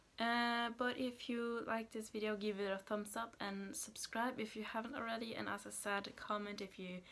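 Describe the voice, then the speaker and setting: Speaking in a Norwegian accent, a woman keeps a monotone, flat intonation. Her pitch is fairly high and her pace moderate. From Norway, Haugesund area. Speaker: vlogger. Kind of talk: casual vlog talk. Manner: hesitant, many fillers.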